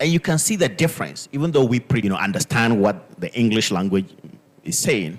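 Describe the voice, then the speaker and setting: A man speaks in a Ghanaian accent at a moderate pace. His pitch swings very widely. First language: Dagbani. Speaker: linguistics professor. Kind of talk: panel discussion.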